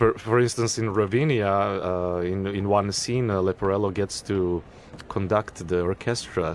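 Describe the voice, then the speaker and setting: Noticeable background noise sits behind a man with a Serbian accent. His pitch is fairly low and his intonation fairly even. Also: moderate pace. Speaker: opera singer. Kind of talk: radio interview. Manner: halting, many fillers and repetitions.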